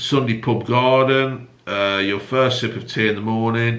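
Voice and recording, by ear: A man talks at medium pitch with a fairly bright tone and fairly even intonation. His pace is moderate, and the room echo is strong.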